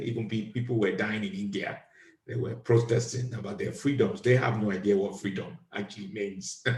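This man's voice sits at a medium pitch and sounds somewhat breathy. He talks at a moderate pace. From Nigeria. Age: 50s. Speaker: podcast host, comedian. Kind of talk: casual chat.

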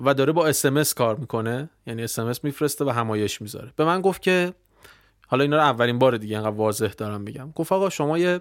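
The recording is very clean, with a silent background. A man talks at a very fast pace and medium pitch. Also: lively intonation. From Iran, Tehran. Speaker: internet entrepreneur. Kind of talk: casual interview.

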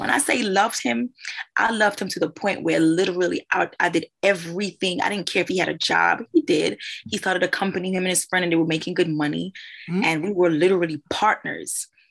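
Speaking at a very fast pace, a woman uses a medium pitch with ordinary pitch variation and vocal fry, set against a quiet background. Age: 30s. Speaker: podcast co-host. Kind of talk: casual chat.

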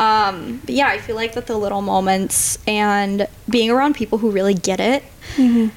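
This is a normal speaking voice from a woman with an American accent. She talks at a moderate pace with a fairly high pitch and fairly even intonation. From Minnesota. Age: 20s. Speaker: physician assistant student. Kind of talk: podcast interview about grief.

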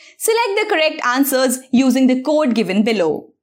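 The speaker is a woman. Her voice leaps through very wide pitch swings. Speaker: news presenter for exam prep. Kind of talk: newsreading, scripted bulletin of current affairs. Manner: formal, brisk and even, steady clear delivery.

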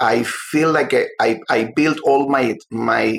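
With a Spanish accent, a man is talking. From Cuba. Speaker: novelist. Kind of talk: interview. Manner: halting.

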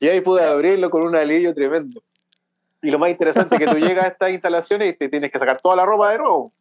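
Talking at a very fast pace, a man with a high pitch keeps very even loudness and ordinary pitch variation in a dry, close sound with no echo. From Chile, Santiago. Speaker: accountant, immigrant. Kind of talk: interview.

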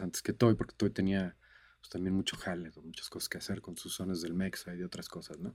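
He is a male speaker. His voice sits very deep and low. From Mexico, Cancún. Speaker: music producer and mixing engineer. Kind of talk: interview. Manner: halting, repeats words.

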